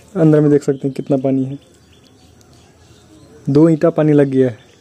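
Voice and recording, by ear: His voice, a man's, is fairly high in pitch with little pitch movement and a dark, mellow tone. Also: moderate pace.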